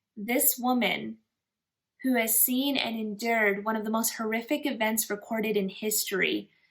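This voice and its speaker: Talking at a moderate pace, a woman with a normal speaking voice uses a fairly high pitch and ordinary pitch variation. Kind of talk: casual commentary to camera.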